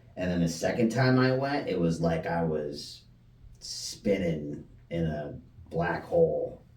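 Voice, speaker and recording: With a very deep, low pitch and lively intonation, a man talks at a fairly slow pace amid audible room echo. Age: 40s. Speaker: person in addiction recovery. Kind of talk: casual chat.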